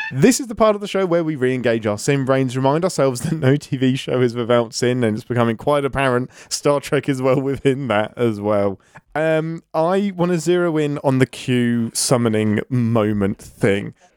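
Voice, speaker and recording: With lively intonation at a moderate pace, a man talks in an unremarkable speaking voice. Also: medium pitch for a man. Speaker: podcast host. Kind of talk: casual chat.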